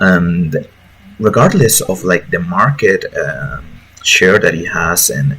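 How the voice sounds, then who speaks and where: A man talks with a Mexican accent. Noticeable background noise can be heard. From Mexico. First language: Spanish. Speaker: gaming YouTuber, lawyer by profession. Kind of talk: casual commentary video. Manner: hesitant, many fillers. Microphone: bad audio quality.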